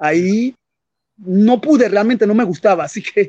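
A man with a high pitch for a man talks at a fairly slow pace. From Panama. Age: 60s. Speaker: poet. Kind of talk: interview. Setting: video call. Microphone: connection dropped.

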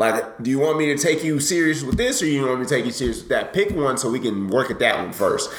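A man's fairly high voice at a very fast pace, with noticeable background noise and audible room echo. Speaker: podcast host. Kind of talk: casual chat.

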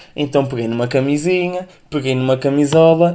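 This man's voice sits at a fairly high pitch with ordinary pitch variation. His tone is dark and mellow. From northern Portugal. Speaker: podcast host. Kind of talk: casual solo podcast monologue.

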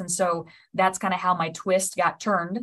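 Speaking with an American accent, a woman at a medium pitch keeps a monotone, flat intonation. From Nebraska. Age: 30s. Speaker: college athletics administrator. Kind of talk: interview.

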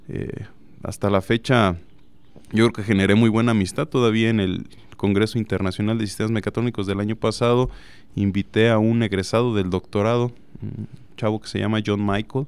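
A man's fairly low voice at a moderate pace, with fairly even intonation and long, frequent pauses. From Nayarit, Mexico. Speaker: engineering professor. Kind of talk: interview.

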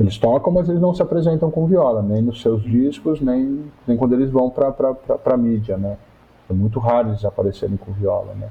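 A man at medium pitch, an ordinary speaking voice, with lively intonation and a moderate pace. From Brazil, São Paulo. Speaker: musician, music professor and researcher. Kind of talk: interview conversation.

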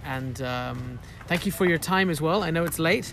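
Over music in the background, a man talks at a moderate pace. His pitch is fairly high, with ordinary variation. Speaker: podcast host. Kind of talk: casual interview chat. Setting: outdoors.

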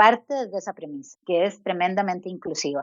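A woman's normal speaking voice at medium pitch, with lively intonation and a moderate pace. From Costa Rica. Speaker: design researcher. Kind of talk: interview.

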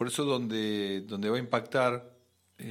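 The recording is very clean, with a silent background. A man with fairly low pitch and fairly even intonation speaks in a plain, everyday voice. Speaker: radio host, astrologer. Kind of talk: casual chat.

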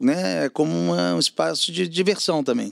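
A man's medium-pitched voice at a moderate pace, with very wide pitch swings and a dry, close sound free of echo. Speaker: advertising media entrepreneur. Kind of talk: casual interview chat.

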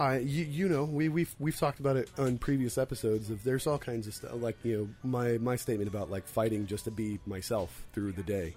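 A man's medium-pitched, dark, mellow voice, somewhat breathy, at a fairly quick pace with ordinary pitch variation. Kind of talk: casual chat.

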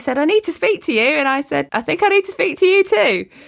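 A woman talks with an East Midlands accent. Her pitch swings very widely. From Lincolnshire, East Midlands, England. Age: 40s. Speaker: prayer ministry leader. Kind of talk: casual chat. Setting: remote call.

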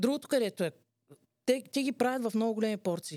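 In a dark, mellow tone, a woman speaks with lively intonation. The sound is dry and close with no echo, on a very clean recording with a silent background. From Bulgaria. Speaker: podcast co-host, entrepreneur. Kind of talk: casual chat.

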